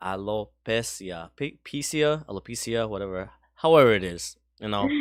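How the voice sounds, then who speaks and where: On a very clean recording with a silent background, a man with a slight Spanish accent speaks at a moderate pace with lively intonation. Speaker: podcast co-host. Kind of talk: casual chat.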